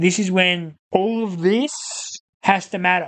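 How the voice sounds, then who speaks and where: A man speaks at a moderate pace with an Australian accent. His pitch is high. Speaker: football podcast host. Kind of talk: casual sports discussion. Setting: studio.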